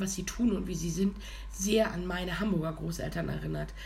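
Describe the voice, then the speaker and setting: A woman is recorded with noticeable background noise and audible room echo. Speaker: podcast co-host. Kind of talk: casual chat. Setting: studio.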